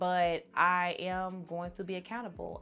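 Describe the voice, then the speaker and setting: The voice carries a calm, relaxed tone. Music plays in the background. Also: woman. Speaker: lifestyle vlogger. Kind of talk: casual talk to camera. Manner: fast at times.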